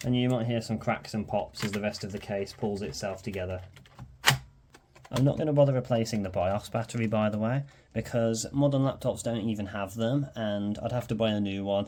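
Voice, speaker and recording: A man with a Birmingham accent and a dark, mellow tone talks at a fairly quick pace, with medium pitch and ordinary pitch variation. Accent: Birmingham (Brummie). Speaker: electronics repair youtuber. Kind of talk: tutorial. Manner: casual, hesitant with frequent ums.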